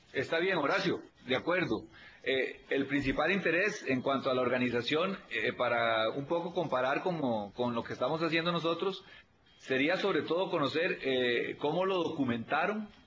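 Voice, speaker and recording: A man's fairly high-pitched voice with lively intonation and very even loudness, at a moderate pace, amid noticeable background noise. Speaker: auditor at a public audit institution. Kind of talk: videoconference consultation. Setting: video call.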